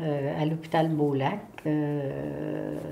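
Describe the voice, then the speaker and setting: Audible room echo surrounds a dark, mellow tone. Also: woman. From Quebec, Montreal. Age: 70s. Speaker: retired municipal secretary-treasurer, local historian. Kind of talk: interview. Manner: hesitant, many fillers.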